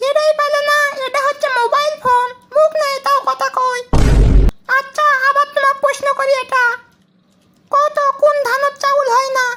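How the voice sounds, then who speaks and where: A woman does a cartoonish character voice at an extremely high pitch. Her intonation is monotone and flat, and her loudness stays very even. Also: moderate pace. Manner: scolding, condescending.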